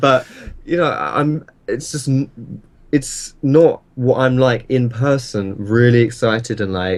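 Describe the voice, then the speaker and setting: Speaking very slowly with an Essex accent, a man holds a medium pitch and ordinary pitch variation. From Essex, England. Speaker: gaming YouTuber and streamer. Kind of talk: interview. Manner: animated.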